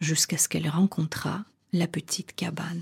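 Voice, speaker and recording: With a theatrical, dramatic tone, the somewhat breathy delivery moves at a fairly slow pace. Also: woman, dry, close sound with no echo. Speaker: storyteller and coach. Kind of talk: fairy tale narration, read aloud in a storytelling voice. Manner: slow, measured, theatrical storyteller with dramatic emphasis; warm and intimate, addressing listener as tu.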